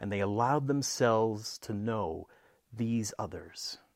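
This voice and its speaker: A man speaks in a normal speaking voice at medium pitch with ordinary pitch variation and a fairly slow pace, on a very clean recording with a silent background. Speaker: preacher and storyteller. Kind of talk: mythic story narration, allegorical folk tale told to a congregation. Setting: church. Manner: solemn, hushed and measured, with a storyteller's cadence.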